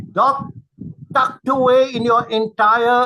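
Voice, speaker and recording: Raised and projected, a man's bright, sharp voice sits at an extremely high pitch, moving at a fairly slow pace with fairly even intonation. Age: 70s. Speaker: webinar moderator. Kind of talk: webinar Q&A. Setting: online webinar. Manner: halting.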